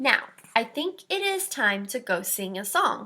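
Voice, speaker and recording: Speaking fairly slowly in a put-on character voice, a woman pitches fairly high and swings her pitch very widely. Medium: read story. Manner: gentle, patient.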